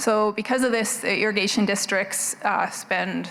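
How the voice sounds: A soft-spoken woman at a fairly slow pace, her tone fairly bright and her pitch varying in an ordinary way.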